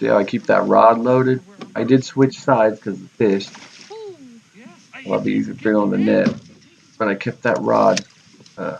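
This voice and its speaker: Someone with an American accent speaks at a moderate pace with long, frequent pauses over noticeable background noise. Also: man. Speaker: fishing channel host. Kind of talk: tutorial. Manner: loud; casual.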